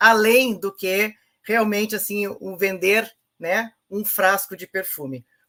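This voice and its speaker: With a bright, sharp tone at a medium pitch, a woman speaks at a very slow pace. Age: 60s. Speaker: presenter of a sales network training. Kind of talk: informal online training talk. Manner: hesitant, many fillers.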